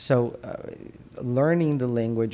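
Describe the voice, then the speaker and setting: In a Brazilian Portuguese accent, a man speaks with a dark, mellow tone, medium pitch and fairly even intonation. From Brazil, Minas Gerais. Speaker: periodontist. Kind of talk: casual interview. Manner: halting, many restarts.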